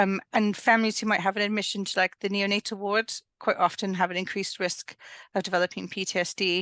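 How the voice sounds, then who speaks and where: Very fast and monotone, a woman with a medium pitch and a bright, sharp tone speaks with flat intonation, recorded with a dry, close sound with no echo against a quiet background. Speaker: perinatal mental health midwife. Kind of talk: interview. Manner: mumbles sometimes.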